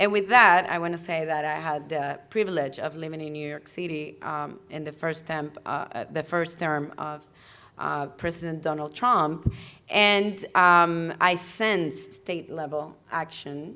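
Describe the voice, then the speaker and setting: A woman's bright, sharp voice with a very deep, low pitch and a non-native accent, at a fairly slow pace with fairly even intonation. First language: not English. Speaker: climate policy panelist. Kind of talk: panel discussion. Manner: halting, self-correcting.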